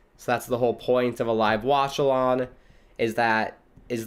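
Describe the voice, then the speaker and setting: A man with an American accent, speaking at a moderate pace. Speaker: streamer. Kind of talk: live watchalong chat. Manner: casual with fillers.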